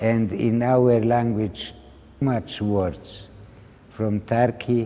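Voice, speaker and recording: Speaking at a very slow pace, a man uses a medium pitch and fairly even intonation, with a dark, mellow tone. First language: Ladino. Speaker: Holocaust survivor. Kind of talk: interview. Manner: halting.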